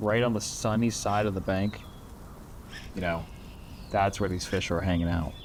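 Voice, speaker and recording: Speaking quietly at a moderate pace, a man uses a relaxed tone and fairly even intonation, leaving long, frequent pauses, with audible room echo around him. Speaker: fishing video host. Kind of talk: casual on-the-water fishing commentary. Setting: outdoors on the bank. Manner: quiet, relaxed.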